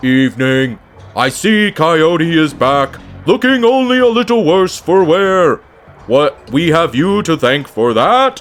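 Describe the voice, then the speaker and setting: A man speaks in a put-on character voice, high-pitched for a man, at a fairly slow pace. Faint music plays in the background. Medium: game stream. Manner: calm, impassive, dry.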